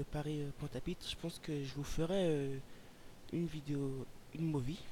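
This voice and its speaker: Somewhat breathy and dark, mellow in tone, a man's voice sits at a fairly high pitch and moves at a moderate pace. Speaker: flight simulator youtuber. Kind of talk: commented flight simulator gameplay. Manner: hesitant, many fillers.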